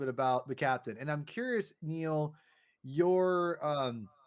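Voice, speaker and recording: A man speaks loudly at a moderate pace. The recording is very clean, with a silent background. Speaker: comic book podcast host. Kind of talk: casual chat. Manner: halting.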